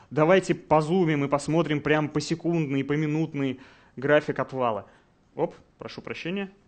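At a moderate pace, a man speaks with fairly even intonation and long, frequent pauses. His pitch is fairly high. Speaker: game design director; conference speaker. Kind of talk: conference talk. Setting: stage with audience. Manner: confident, instructive. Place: hall.

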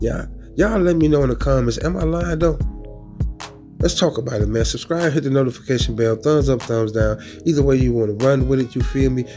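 A man talks at a very fast pace and very even loudness while faint music plays in the background. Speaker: commentary vlogger. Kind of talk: casual commentary. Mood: earnest, disagreeing. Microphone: phone near.

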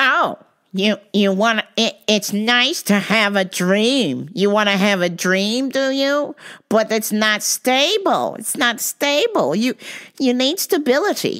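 In a put-on character voice, a woman speaks at a fairly slow pace with fairly high pitch. The recording is very clean, with a silent background. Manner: condescending, skeptical.

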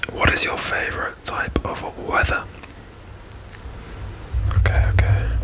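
A man whispering at a fairly slow pace, with long, frequent pauses. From Britain. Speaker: ASMR creator. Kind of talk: ASMR whispered question-asking to camera. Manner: whispered, soft-spoken. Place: home room.

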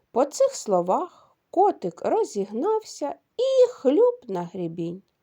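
A quiet background behind plain reading aloud

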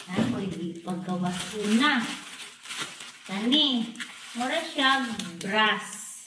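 Against noticeable background noise, a woman speaks very slowly with lively intonation and long, frequent pauses. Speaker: home vlogger. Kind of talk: casual unboxing chat. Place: home room. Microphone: phone near.

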